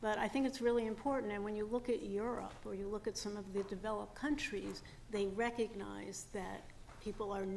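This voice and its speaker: A normal speaking voice from a woman, fairly high-pitched and fairly quick, with fairly even intonation. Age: 60s. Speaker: former parole board commissioner. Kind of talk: testimony. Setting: public hearing.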